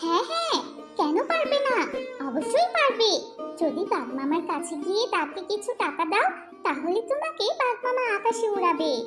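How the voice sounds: A cartoonish character voice at an extremely high pitch moves at a fairly slow pace, with clear music in the background.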